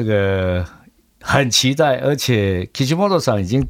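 This man has a fairly low pitch. His intonation is lively. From Taiwan. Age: 60s. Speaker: bakery owner. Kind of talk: interview via interpreter.

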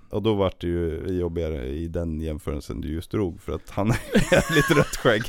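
Very deep, low male voice at a moderate pace, with lively intonation, hardly any pauses and noticeable background noise. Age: 30s. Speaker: nurse, former paramedic. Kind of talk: casual chat.

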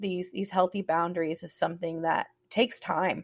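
A woman's voice comes at a moderate pace, the sound dry and close with no echo at all. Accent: Southern US. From US South. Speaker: podcast host. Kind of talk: casual chat.

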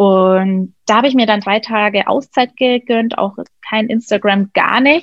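A woman with a plain, everyday voice, fairly high in pitch, at a fairly slow pace, with ordinary pitch variation and very even loudness. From Germany, Nuremberg (Franconia). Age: 30s. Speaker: hairdresser and style coach. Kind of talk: interview.

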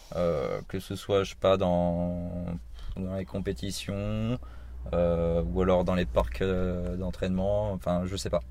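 The man's voice has a dark, mellow tone. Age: 20s. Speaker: podcast host. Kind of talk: casual interview. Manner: stammering.

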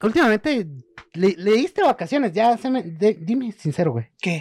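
On a very clean recording with a silent background, a man with a Mexican accent talks at a fairly quick pace with very wide pitch swings, the sound dry and close with no echo. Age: 20s. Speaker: podcast co-host. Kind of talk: casual chat.

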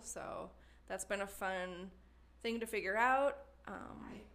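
A woman with a slight Wisconsin accent, medium pitch, ordinary pitch variation and a moderate pace. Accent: slight Wisconsin Midwestern. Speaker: potter and studio member. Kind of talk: interview conversation.

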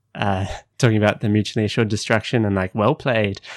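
With an Australian accent, a man talks in a fairly low pitch using fairly even intonation. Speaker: podcast co-host. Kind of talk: casual chat; scripted narration.

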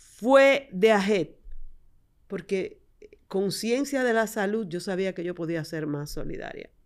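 With a Dominican accent, a woman speaks at a very slow pace and medium pitch, her intonation lively and her loudness swinging widely. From Dominican Republic, San Juan de la Maguana. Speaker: podcast host and dentist. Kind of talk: casual interview.

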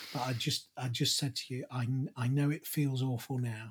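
Speaking with a British accent, a man with a medium-pitched, somewhat breathy voice talks at a fairly slow pace in a flat monotone, on a very clean recording with a silent background. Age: 50s. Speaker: podcast co-host and father. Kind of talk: casual conversation.

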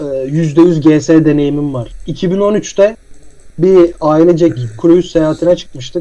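A very slow man's voice, fairly high in pitch, with ordinary pitch variation. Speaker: podcast host. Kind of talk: casual chat. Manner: laughing often.

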